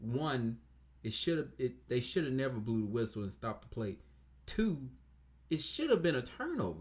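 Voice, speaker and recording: A man's quiet, somewhat breathy voice at a medium pitch and moderate pace, with lively intonation and long, frequent pauses. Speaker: sports reviewer. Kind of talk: casual game review monologue. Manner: quiet, low-key; hesitant, many fillers.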